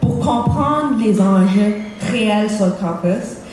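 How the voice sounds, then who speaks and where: A woman with an English accent speaks at medium pitch. Music plays in the background, and audible room echo surrounds her voice. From Cape Breton, Nova Scotia, Canada. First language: English (speaking French). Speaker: student election candidate. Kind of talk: campaign debate speech.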